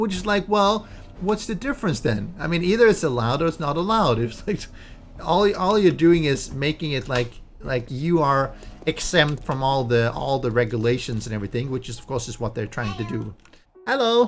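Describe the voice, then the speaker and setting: Delivered at a fairly quick pace with a Swedish accent, the speech shows very wide pitch swings. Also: man, fairly high pitch for a man. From Sweden. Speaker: gaming streamer. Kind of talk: casual chat. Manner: halting.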